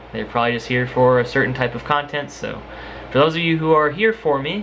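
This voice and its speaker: A man talks with ordinary pitch variation. Noticeable background noise runs underneath. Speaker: YouTuber and singer doing music covers. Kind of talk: casual vlog talk to camera. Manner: halting, many fillers.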